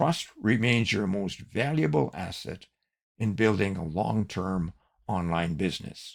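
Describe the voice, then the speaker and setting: Over a very clean recording with a silent background, a man with a very deep, low pitch speaks at a fairly slow pace with lively intonation. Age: 80s+. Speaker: online business coach and podcast host. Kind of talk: scripted podcast monologue.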